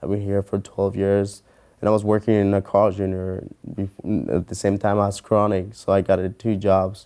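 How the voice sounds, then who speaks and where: Monotone, flat delivery in a Mexican accent, dark and mellow tone, moderate pace. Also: man. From Mexico. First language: Spanish. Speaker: mortgage loan officer. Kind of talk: interview answer.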